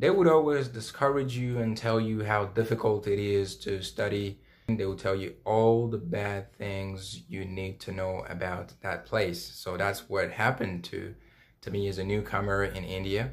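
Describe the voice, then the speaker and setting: A man's somewhat breathy voice, fairly low in pitch. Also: ordinary pitch variation, moderate pace. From Democratic Republic of Congo. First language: French. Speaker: former international student. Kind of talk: interview answers.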